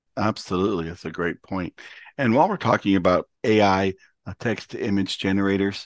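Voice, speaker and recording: The delivery is an ordinary speaking voice with fairly even intonation. It moves at a moderate pace, dry and close with no echo. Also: man, quiet background. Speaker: podcast host. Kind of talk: interview.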